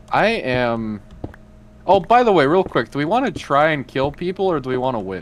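Over noticeable background noise, a man speaks at a fairly high pitch and moderate pace, his pitch swinging very widely. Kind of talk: casual chat while gaming.

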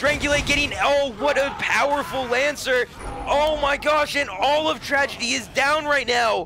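Over noticeable background noise, a man uses a raised, projected voice at an extremely high pitch, keeping very even loudness, ordinary pitch variation and a moderate pace. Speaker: esports caster. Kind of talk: live commentary. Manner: animated.

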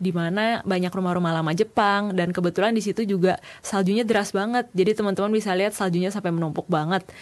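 A woman with an Indonesian accent speaks with ordinary pitch variation. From Indonesia, Jakarta. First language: Indonesian (speaking Japanese). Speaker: university student intern. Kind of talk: presentation. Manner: casual. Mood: friendly, enthusiastic. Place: studio.

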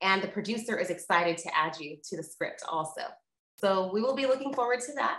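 With lively intonation, a woman talks at medium pitch and a fairly quick pace in a room with audible echo. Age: 40s. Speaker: interviewer. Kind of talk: casual chat. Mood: upbeat, encouraging. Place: home room. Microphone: webcam.

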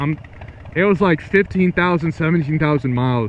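A man's voice with ordinary pitch variation, dry with no echo, over light background noise. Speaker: motorcycle vlogger. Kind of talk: casual vlog chat. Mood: amused, mildly indignant. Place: motorbike.

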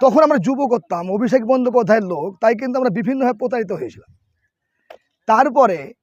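A man speaks at an extremely high pitch. His pitch varies in an ordinary way. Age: 40s. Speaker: local party worker. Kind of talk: press interview.

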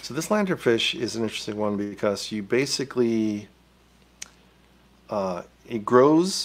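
There is lively intonation as a man talks at a fairly slow pace and a fairly low pitch.

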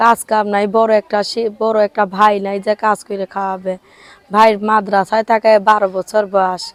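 A woman speaks at medium pitch in a monotone, flat intonation, with a dry, close sound and no echo. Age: 20s. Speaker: interviewee, seamstress. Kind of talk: interview.

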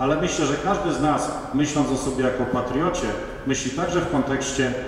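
A man talking at a fairly quick pace, with strong room echo and light background noise. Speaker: conference host. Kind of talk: formal welcome speech. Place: hall.

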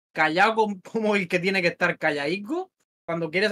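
A man talks at a fairly quick pace with ordinary pitch variation and a bright, sharp tone. The sound is dry and close, with no echo. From Spain, Murcia. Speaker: music manager. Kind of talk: casual chat. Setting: at home.

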